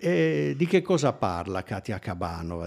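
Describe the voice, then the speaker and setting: A man's pitch varies in an ordinary way as he talks over a quiet background. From Turin, northern Italy; northern Italy. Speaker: musicologist. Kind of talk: lecture. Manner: halting. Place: hall. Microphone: podium.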